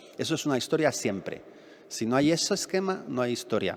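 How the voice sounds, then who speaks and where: Here is a man with an ordinary speaking voice. He talks at a fairly quick pace with lively intonation. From Madrid, Spain. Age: 50s. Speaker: novelist. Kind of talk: public talk Q&A. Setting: library event with audience.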